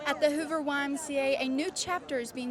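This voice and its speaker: Over noticeable background noise, a woman with a high-pitched voice speaks at a fairly quick pace. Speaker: television news reporter. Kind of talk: broadcast news reporter delivery.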